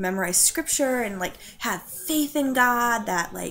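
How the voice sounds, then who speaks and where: There is light background noise as a woman talks. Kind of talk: personal testimony, casual conversational. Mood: reflective, candid, serious topic. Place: home room. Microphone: webcam.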